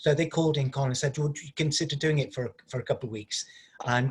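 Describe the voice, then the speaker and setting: This man speaks with a Liverpool accent. His voice is somewhat breathy, and his intonation is fairly even. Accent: Liverpool (Scouse). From Liverpool, England. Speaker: stage actor. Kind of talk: interview.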